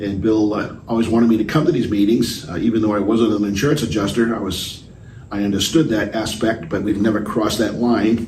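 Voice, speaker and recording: Fairly low-pitched man at a fairly quick pace, fairly even intonation, noticeable background noise. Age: 70s. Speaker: aviation insurance salvage and claims executive. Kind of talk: interview answer. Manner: hesitant, many filler words.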